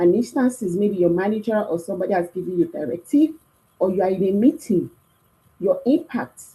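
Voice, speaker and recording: The voice has a dark, mellow tone, somewhat breathy, moving at a fairly quick pace with lively intonation. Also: woman. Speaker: career workshop speaker. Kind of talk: talk. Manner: animated.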